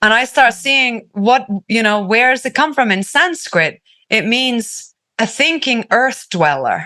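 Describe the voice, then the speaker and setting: Against a quiet background, a woman with a Finnish accent speaks in a high pitch with a bright, sharp tone, lively intonation and very even loudness at a fairly slow pace. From Finland. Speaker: activist and healing artist. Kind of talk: casual chat. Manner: halting.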